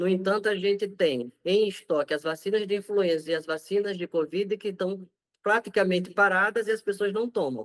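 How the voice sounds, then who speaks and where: Against a quiet background, a man with a northeastern Brazilian accent speaks at a moderate pace in a high voice with ordinary pitch variation. The sound is dry and close, with no echo. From Brazilian Northeast. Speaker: infectious disease doctor. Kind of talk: interview.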